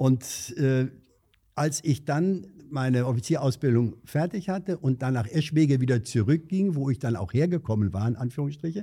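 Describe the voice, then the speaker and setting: The man's fairly high voice is somewhat breathy, with lively intonation. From Hesse, Vogelsberg area (Angersbach). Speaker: retired district administrator and former border guard officer. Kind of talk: interview.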